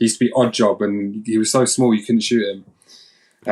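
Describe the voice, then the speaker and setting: Speaking fairly quickly, a man talks in a London accent. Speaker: game founder. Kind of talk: interview. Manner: halting.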